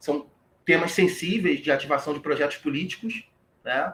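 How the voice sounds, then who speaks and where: This man's pitch varies in an ordinary way as he talks at a moderate speed. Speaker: history professor. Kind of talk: lecture. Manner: halting.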